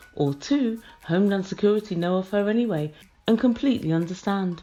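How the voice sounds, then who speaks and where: A woman's medium-pitched voice in a British accent, fairly quick, with ordinary pitch variation. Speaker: reality TV review vlogger. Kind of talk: casual commentary review. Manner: softer, quieter than usual.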